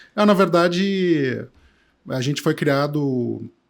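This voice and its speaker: A man speaks with a southern Brazilian accent and ordinary pitch variation. The recording is very clean, with a silent background. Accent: gaúcho. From southern Brazil, Porto Alegre. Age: 50s. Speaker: tech entrepreneur. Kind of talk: casual interview chat.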